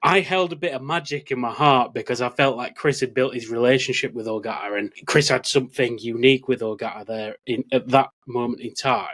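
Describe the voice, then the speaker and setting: With a British accent, a man of medium pitch talks at a fairly quick pace with hardly any pauses and ordinary pitch variation. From Britain. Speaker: podcast host. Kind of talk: casual chat.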